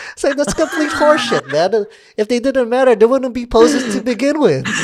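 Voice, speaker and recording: An extremely high-pitched man's voice in an American accent, fairly quick, with ordinary pitch variation and noticeable background noise. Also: big swings in loudness. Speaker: podcast host and videographer. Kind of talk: casual chat. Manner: casual, filler-heavy.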